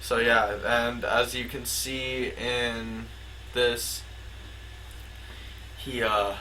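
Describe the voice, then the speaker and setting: Amid audible room echo, a man talks at a very slow pace with long, frequent pauses. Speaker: conspiracy video maker. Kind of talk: casual commentary with read-out plot summary. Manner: halting with filler words.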